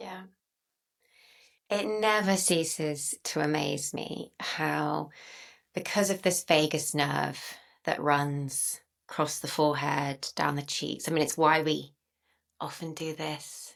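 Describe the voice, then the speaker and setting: In a very clean recording with a silent background, a woman with a very deep, low pitch and vocal fry speaks at a very slow pace, with ordinary pitch variation and long, frequent pauses. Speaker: somatic practice facilitator. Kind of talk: guided experiential session. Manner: slow, reflective.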